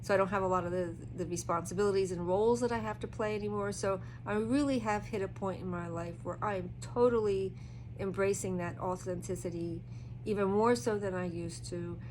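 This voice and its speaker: A woman speaks at a fairly quick pace in a relaxed tone. Audible room echo surrounds her voice. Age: 60s. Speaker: tarot reader. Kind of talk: casual talk-through of a tarot reading. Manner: relaxed, hesitant with fillers.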